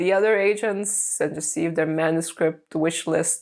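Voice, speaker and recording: A woman speaks with a Lithuanian accent. Her pace is moderate and her pitch variation ordinary. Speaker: aspiring novelist and video blogger. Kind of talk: casual vlog. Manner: animated.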